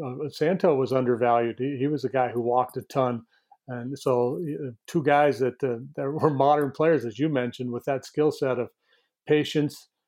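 A man with an American accent has a normal speaking voice, with medium pitch, ordinary pitch variation and a moderate pace. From northern New York. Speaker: sports broadcaster and co-host. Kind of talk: podcast interview.

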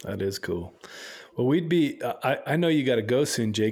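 A man speaks in a normal speaking voice with an American accent. His intonation is lively and his pace fairly quick. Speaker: podcast co-host. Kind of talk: casual interview chat.

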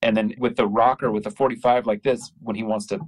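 With an American accent, a man speaks at a moderate pace and medium pitch in a normal speaking voice. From California, US (Modesto). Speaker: indie rock guitarist. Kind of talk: casual chat.

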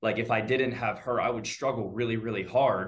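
Speaking at a medium pitch with fairly even intonation, a man with an American accent is heard with audible room echo. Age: 20s. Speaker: real estate agent. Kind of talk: casual interview. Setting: video call.

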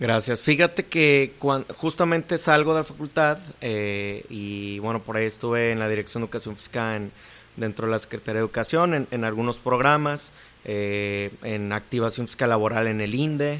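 A man speaks at a medium pitch and a moderate pace. His pitch variation is ordinary. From Mexico, Cuernavaca, Morelos. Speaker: sports program coordinator. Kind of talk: interview. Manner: halting, many fillers.

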